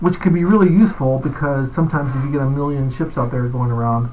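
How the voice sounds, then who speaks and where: A man speaks at a fairly quick pace and fairly high pitch, with ordinary pitch variation. The room echo is audible, and background noise is noticeable. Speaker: game developer. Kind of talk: gameplay tutorial. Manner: fast; casual, with fillers.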